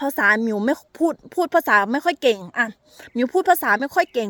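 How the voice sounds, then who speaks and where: Her high-pitched voice has a bright, sharp tone and lively intonation, captured as a dry, close sound with no echo on a very clean recording with a silent background. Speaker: vlogger. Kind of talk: casual storytelling.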